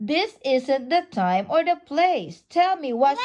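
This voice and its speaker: In a put-on character voice, a woman pitches her speech high. Her delivery is fairly slow. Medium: read story. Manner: calm, gentle.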